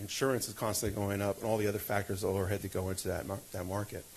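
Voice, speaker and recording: Audible room echo fills the recording. A man with a fairly low pitch talks at a very fast pace. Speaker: city finance officer. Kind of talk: budget presentation at council meeting.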